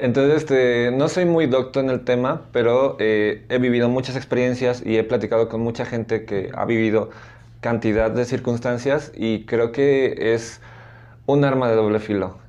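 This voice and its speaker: A man with a plain, everyday voice at medium pitch, fairly even intonation and a fairly slow pace. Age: 30s. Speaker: arts teacher. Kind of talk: interview.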